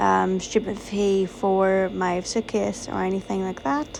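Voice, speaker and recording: A woman is talking. Music plays in the background. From Northern Ireland. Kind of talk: casual vlog voice-over.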